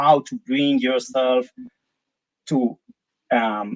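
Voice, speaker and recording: In an Israeli accent, a man speaks at a medium pitch. His intonation stays fairly even. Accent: non-British, Israeli. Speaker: company CEO. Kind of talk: live interview. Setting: live stream. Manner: hesitant, many fillers.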